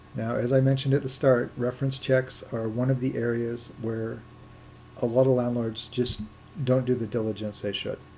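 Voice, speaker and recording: A man's dark, mellow, somewhat breathy voice holds a monotone, flat intonation. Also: medium pitch for a man. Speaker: landlord coach. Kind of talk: webinar lecture. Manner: fast.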